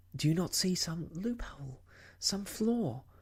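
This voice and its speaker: A soft-spoken, gentle tone at a fairly slow pace. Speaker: audiobook reader, ASMR storyteller. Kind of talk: audiobook reading of a classic novel.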